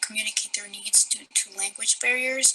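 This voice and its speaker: A woman talks in a fairly high pitch. Noticeable background noise runs under her voice. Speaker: student. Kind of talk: prerecorded testimony.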